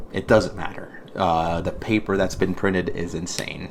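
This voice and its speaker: Amid noticeable background noise and audible room echo, a man with a very deep, low pitch speaks at a moderate pace. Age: 30s. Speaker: podcast host. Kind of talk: reading aloud with commentary. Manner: halting, stumbling over words; casual.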